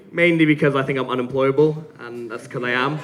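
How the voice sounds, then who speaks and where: Speaking at a very fast pace, a man uses a fairly high voice. Noticeable background noise and audible room echo are present. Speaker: gin brand founder giving a tasting talk. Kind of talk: live presentation at a tasting session. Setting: stage with audience. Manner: animated.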